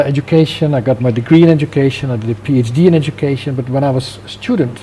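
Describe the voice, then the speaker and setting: Speaking at a moderate pace with a Dutch accent, a man uses a fairly high pitch and ordinary pitch variation. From Netherlands. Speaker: business founder and CEO. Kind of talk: interview. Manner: hesitant, many fillers.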